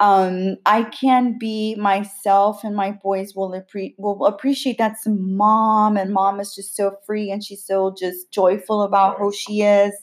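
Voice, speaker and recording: A woman talks at a fairly slow pace with hardly any pauses, her medium-pitched voice monotone and flat. Her loudness swings widely. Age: 40s. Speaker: podcast host. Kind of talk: casual chat.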